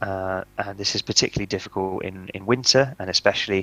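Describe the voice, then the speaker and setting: With a British accent, a man speaks at a fairly low pitch and fairly quick pace in a monotone, flat delivery, captured dry and close with no echo on a very clean recording with a silent background. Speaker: author and speaker on mentally healthy buildings. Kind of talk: conference talk. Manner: fast.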